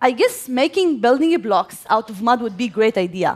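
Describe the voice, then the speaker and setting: Lively intonation marks this woman's speech, delivered in an Arabic accent. Her pitch is fairly high and her pace moderate. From Gaza, Palestine. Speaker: civil engineer and inventor. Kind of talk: stage talk. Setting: stage with audience.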